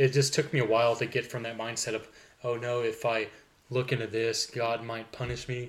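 With an American accent, a man speaks at a fairly quick pace in a monotone, flat way. His voice is somewhat breathy. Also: medium pitch for a man. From Oklahoma. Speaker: podcast co-host. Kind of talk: casual chat, personal testimony.

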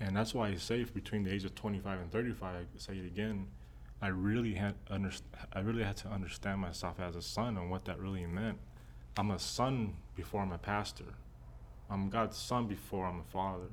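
A man speaks at a moderate pace with fairly even intonation. His pitch is fairly low, and room echo is audible. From Texas. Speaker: pastor. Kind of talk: personal testimony. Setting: church offices.

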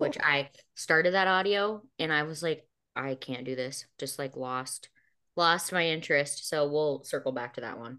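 A woman with a very deep, low, bright, sharp voice talks at a moderate pace with ordinary pitch variation over a quiet background. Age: 30s. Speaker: podcast host and author. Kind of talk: casual chat.

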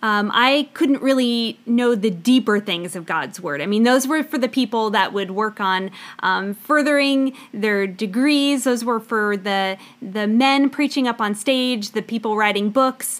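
Using an unremarkable speaking voice, a woman with an American accent talks fairly slowly at a fairly high pitch, with ordinary pitch variation and hardly any pauses. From US South, Florida Panhandle. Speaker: podcast co-host, homeschooling mother and former teacher. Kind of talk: casual Bible-teaching podcast chat.

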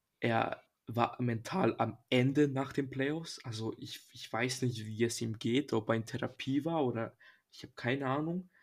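A man with an ordinary speaking voice talks at a fairly slow pace, medium in pitch with ordinary pitch variation and big swings in loudness. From Serbia. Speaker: podcast co-host. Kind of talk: casual chat.

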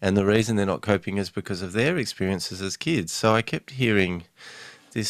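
In a very clean recording with a silent background, a man with an Australian accent speaks fairly quickly in a very deep, low pitch. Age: 40s. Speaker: novelist and family mediator. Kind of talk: interview.

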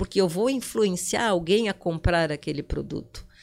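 A woman's medium-pitched voice with very wide pitch swings at a moderate pace, on a very clean recording with a silent background. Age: 60s. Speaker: digital influencer. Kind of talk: casual interview. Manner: animated.

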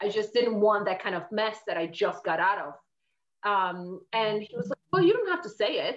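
A woman with a Polish accent speaks at a medium pitch. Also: ordinary pitch variation, moderate pace. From Poland. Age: 40s. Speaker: fitness and life coach. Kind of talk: interview.

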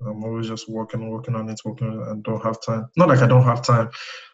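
A man speaks in a strong Nigerian accent at a medium pitch, somewhat breathy. His intonation stays monotone and flat. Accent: thick Nigerian. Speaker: web designer. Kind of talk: casual chat. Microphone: iPhone earbud mic, poor audio quality.

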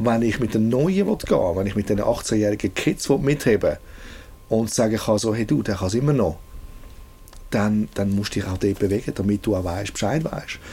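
The voice is somewhat breathy, with a dark, mellow tone. It moves at a moderate pace with ordinary pitch variation. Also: man, fairly low pitch for a man. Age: 40s. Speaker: music producer. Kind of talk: casual interview. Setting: recording studio. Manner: halting, with many repetitions.

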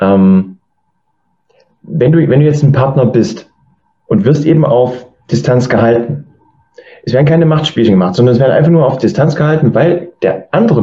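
A man is speaking. His pitch swings very widely. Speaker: podcast host. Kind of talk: interview.

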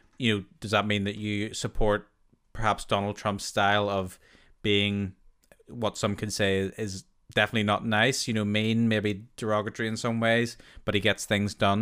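In a Northern Irish accent, a man speaks with monotone, flat intonation on a very clean recording with a silent background. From Northern Ireland. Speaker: podcast host. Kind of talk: casual interview.

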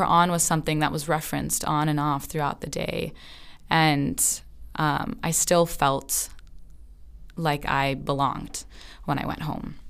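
Speaking with an American accent, a woman with a very deep, low pitch and vocal fry talks at a fairly slow pace, leaving long, frequent pauses, her pitch varying in an ordinary way. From Southern California. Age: 20s. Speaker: podcast moderator. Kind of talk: personal narrative.

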